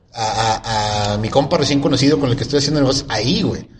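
A man talks at a very fast pace with audible room echo around him. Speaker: podcast host. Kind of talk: casual chat.

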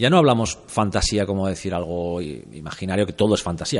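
Here is a man talking. His pitch is very deep and low. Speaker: film podcast host. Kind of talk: casual chat.

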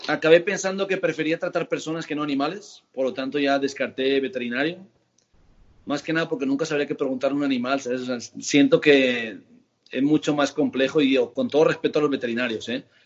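This man has an unremarkable speaking voice. It sits fairly high in pitch with ordinary variation. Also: fairly quick pace. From Spain, Barcelona. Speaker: physiotherapist and osteopath. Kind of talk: casual interview.

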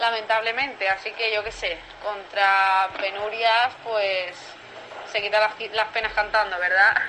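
Over noticeable background noise, a woman speaks at a fairly slow pace. Her pitch is fairly high, and her intonation is monotone and flat. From Valencia. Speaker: contributor. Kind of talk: recorded testimony.

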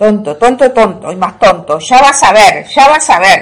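A female-sounding voice uses a put-on character voice, fairly high in pitch and shrill. The pace is moderate. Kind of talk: comic animal imitation. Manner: repetitive, mocking.

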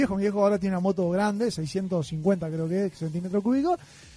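A man with a Uruguayan accent talks at a fairly quick pace in a high pitch. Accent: Uruguayan Spanish (Rioplatense). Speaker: radio host. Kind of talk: casual chat.

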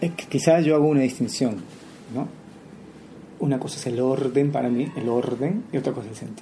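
A man's medium-pitched voice at a fairly quick clip, with ordinary pitch variation, big swings in loudness, long and frequent pauses, and noticeable background noise. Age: 40s. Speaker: historian and poet. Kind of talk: interview.

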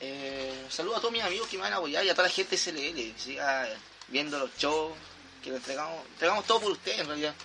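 In a Chilean accent, a man with a fairly high pitch speaks at a very fast pace. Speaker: professional wrestler. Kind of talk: casual chat.

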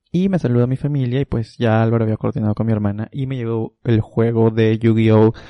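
Using a normal speaking voice, a man talks at a fairly quick pace and medium pitch, with fairly even intonation and hardly any pauses. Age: 20s. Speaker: podcast co-host. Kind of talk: casual chat.

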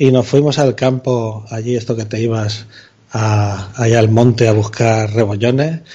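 The man has a dark, mellow tone. His voice is somewhat breathy. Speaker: podcaster. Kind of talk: casual chat. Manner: animated.

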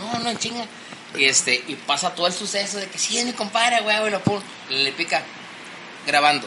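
Projecting a raised voice at a high pitch, a man speaks at a fairly quick pace with lively intonation and long, frequent pauses, against noticeable background noise. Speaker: amateur baseball player. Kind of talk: casual chat. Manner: stutter when nervous.

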